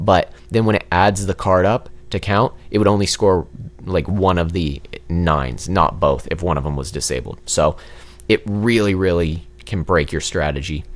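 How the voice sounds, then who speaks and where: A man's very deep, low voice with vocal fry, quiet and at a moderate pace, with ordinary pitch variation. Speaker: gaming youtuber. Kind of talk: gameplay commentary.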